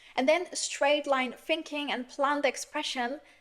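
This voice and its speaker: With a German accent, a woman speaks at a high pitch. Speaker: philosophy YouTuber. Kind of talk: monologue. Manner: hesitant with filler words.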